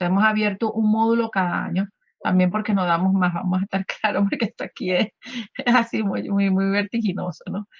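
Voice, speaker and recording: A somewhat breathy woman's voice at medium pitch, with fairly even intonation. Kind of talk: radio interview. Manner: halting, many fillers.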